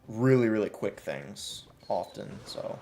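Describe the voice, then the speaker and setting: A man speaks with an American accent while music plays in the background. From US, Chicago. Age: 20s. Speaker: gaming streamer. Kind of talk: live stream commentary. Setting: live stream. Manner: slow; deliberate.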